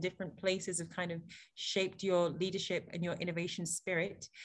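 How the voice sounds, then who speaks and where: A woman with an English accent at medium pitch and a very fast pace. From England. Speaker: panel moderator. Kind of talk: panel moderation on video call. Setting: video call. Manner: animated.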